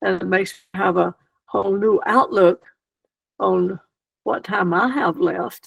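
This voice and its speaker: Speaking at a fairly slow pace with a Southern US accent, a woman leaves long, frequent pauses. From US South, South Carolina countryside. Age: 80s+. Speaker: retired missionary. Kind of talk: interview. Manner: animated.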